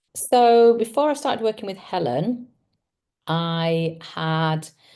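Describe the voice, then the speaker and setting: A woman speaks very slowly at a fairly low pitch, her tone dark and mellow. Her intonation is lively, and the background is quiet. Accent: English. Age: 60s. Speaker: psychotherapist. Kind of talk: testimonial interview.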